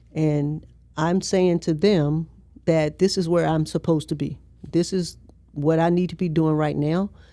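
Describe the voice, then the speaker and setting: A woman speaks at a fairly slow pace with an American accent, her pitch fairly low and her tone dark and mellow. Her intonation stays monotone and flat, and the recording is very clean with a silent background. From US South, Richmond, Virginia. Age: 60s. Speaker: sheriff. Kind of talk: interview conversation.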